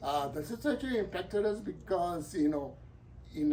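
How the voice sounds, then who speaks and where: A man talks fairly slowly, his pitch sitting high. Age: 70s. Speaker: oral history interviewee. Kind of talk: interview. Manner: halting, many fillers.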